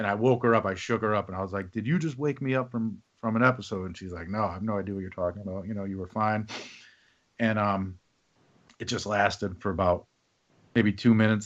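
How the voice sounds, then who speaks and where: The speech moves at a very fast pace with an American accent. Intonation stays fairly even. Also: man. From Indiana. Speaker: podcast host. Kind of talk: casual interview chat.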